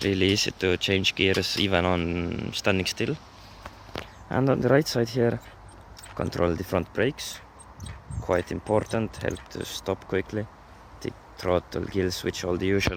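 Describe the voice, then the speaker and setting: Long, frequent pauses break up fairly slow speech over noticeable background noise. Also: man, very deep, low pitch for a man, ordinary pitch variation. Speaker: motorized bike hobbyist. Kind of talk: casual walkaround talk to camera.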